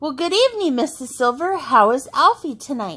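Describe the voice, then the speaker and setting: A woman adopts a put-on character voice, high-pitched and swinging very widely in pitch. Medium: read story. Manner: polite, hiding a secret.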